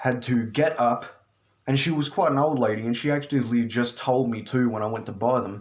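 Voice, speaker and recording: A man at a medium pitch, fairly quick, with fairly even intonation. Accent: Australian. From Australia. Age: 20s. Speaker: video game collector. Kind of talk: casual talk to camera. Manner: casual, profane.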